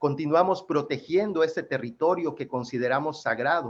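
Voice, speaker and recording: A man speaks with a Yucatán accent. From Yucatán, Mexico. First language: Yucatec Maya (speaking Spanish). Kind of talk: panel presentation.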